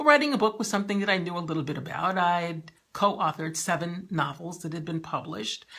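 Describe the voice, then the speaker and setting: A woman with a plain, everyday voice speaks at a fairly low pitch and a fairly quick pace, with ordinary pitch variation. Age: 60s. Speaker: novelist and lifestyle vlogger. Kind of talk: personal vlog monologue. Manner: warm, conversational.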